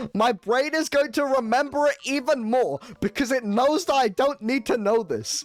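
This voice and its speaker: Speech moves fairly slowly. It is delivered in a British accent. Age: 20s. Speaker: streamer. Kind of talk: live gaming stream chat. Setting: live stream. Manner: animated.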